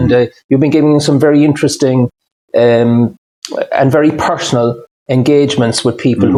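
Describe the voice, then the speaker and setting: Fairly quick speech in an Irish accent, dark and mellow in tone. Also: man. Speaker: interviewer, financial adviser. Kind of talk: interview question.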